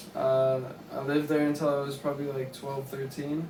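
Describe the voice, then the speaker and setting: The voice keeps a fairly even intonation, heard with audible room echo and noticeable background noise. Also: man. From Tennessee, near Nashville. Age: 20s. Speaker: podcast co-host. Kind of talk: casual chat.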